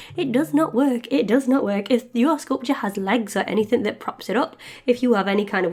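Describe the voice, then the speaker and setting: A woman with a British accent talks at a fairly quick pace, her pitch fairly high. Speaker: polymer clay sculptor, craft video maker. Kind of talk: crafting tutorial with casual chat.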